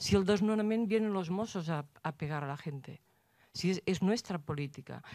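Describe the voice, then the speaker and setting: A woman with a dark, mellow tone talks over a quiet background, her pitch varying in an ordinary way. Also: dry sound with no echo. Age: old. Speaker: audience member. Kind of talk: audience question. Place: hall.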